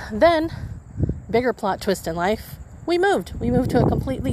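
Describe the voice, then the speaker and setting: A woman talks at a fairly quick pace in an American accent. There is noticeable background noise. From US Southwest, Imperial Valley, California. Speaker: podcast host. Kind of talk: casual monologue. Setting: outdoors in a cemetery at night. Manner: rambling, with self-repeats.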